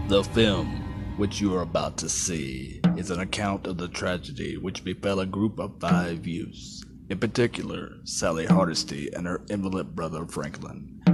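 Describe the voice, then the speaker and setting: Over music in the background, a man with a very deep, low pitch speaks with ordinary pitch variation and hardly any pauses. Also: moderate pace. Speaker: voice actor. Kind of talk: movie trailer.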